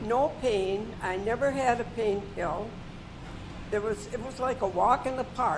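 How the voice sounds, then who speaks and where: Music plays in the background as a woman speaks in an American accent. Her pitch is fairly high, with ordinary variation. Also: fairly slow pace. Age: 90s. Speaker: patient. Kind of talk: testimony.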